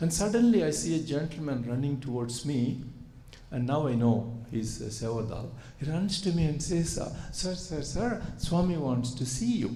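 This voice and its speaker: Audible room echo surrounds a man speaking at a moderate pace with a fairly high pitch and very wide pitch swings. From India. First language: Telugu. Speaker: surgeon and spiritual speaker. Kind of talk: spiritual talk to audience. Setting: retreat hall with audience. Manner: hesitant with many fillers.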